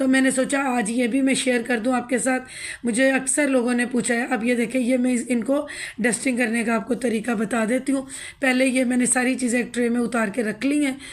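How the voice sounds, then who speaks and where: At a moderate pace, a woman talks in a high pitch with flat, monotone intonation. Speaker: home cooking and lifestyle vlogger. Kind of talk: home tutorial vlog. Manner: casual.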